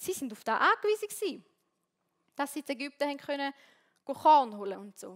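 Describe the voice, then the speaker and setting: A high-pitched woman talks at a fairly quick pace with very wide pitch swings, big swings in loudness and long, frequent pauses, in a dry, close sound with no echo. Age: 20s. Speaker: theology student and worship leader. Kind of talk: sermon. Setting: stage with audience.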